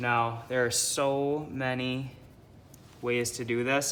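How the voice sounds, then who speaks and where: A man's monotone, flat intonation in audible room echo. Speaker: art teacher. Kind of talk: tutorial.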